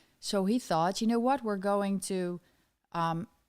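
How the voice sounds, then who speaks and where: A woman with a Dutch accent speaks at a moderate pace and medium pitch with lively intonation, on a very clean recording with a silent background. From Netherlands. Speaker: political commentator. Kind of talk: live stream commentary. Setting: Twitter Spaces live audio.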